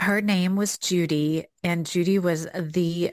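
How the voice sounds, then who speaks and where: A woman's fairly low voice with a Southern US accent, on a very clean recording with a silent background. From US South. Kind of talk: casual conversational faith podcast. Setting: home office.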